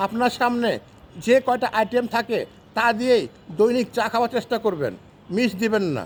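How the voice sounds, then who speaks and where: A man speaks with an extremely high pitch and fairly even intonation. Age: 60s. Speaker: health tips vlogger. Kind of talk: tutorial.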